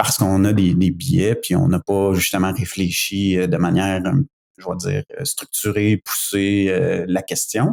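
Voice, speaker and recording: A man with a very deep, low pitch speaks at a fairly slow pace with lively intonation. The recording is very clean with a silent background, dry and close with no echo. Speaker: conference attendee, cybersecurity professional. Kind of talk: podcast conversation. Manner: halting, many hesitations.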